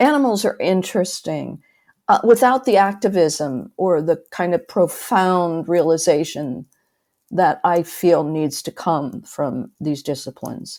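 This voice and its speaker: Recorded very cleanly against a silent background, a woman speaks at a fairly slow pace with a fairly low pitch. Her tone is dark and mellow, and her intonation is lively. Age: 70s. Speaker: retired art and media professor. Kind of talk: interview. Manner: halting, with many restarts.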